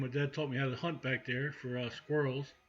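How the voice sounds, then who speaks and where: A man with a Baltimore accent talks fairly quickly at a fairly high pitch. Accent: Baltimore-area Mid-Atlantic US. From central Maryland, near Baltimore. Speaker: outdoors channel host. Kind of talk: live stream chat with viewers. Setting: live stream. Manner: casual, conversational.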